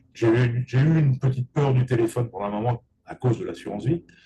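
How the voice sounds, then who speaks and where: A man's somewhat breathy, medium-pitched voice with a dark, mellow tone. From Paris region, France. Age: 60s. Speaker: real estate agent and business coach. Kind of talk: interview.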